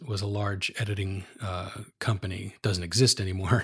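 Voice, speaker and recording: On a very clean recording with a silent background, a man with an American accent speaks at a fairly low pitch in a somewhat breathy voice. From US Northeast, outside New York City. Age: 60s. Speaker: retired AV technician. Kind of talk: interview.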